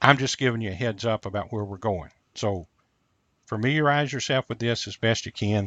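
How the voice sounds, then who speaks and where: Recorded dry and close with no echo over a quiet background, a man talks at a fairly quick pace in an unremarkable speaking voice, medium in pitch, with ordinary pitch variation. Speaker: physics or engineering instructor. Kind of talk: lecture.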